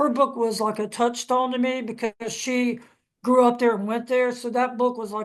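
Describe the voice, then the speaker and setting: A woman with a fairly high pitch speaks at a moderate pace in a monotone, flat intonation. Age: 60s. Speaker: author and historian. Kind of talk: panel discussion.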